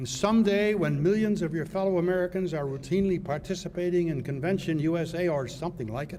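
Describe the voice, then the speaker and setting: Talking at a very fast pace with hardly any pauses, a man speaks in a high pitch with ordinary pitch variation, amid audible room echo and noticeable background noise. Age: 80s+. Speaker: retired judge and law school founder. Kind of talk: commencement speech. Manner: formal.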